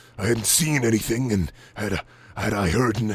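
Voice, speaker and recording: A man speaks in a put-on character voice at a moderate pace. His pitch sits in the medium range. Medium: read story. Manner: arrogant, gruff, scornful.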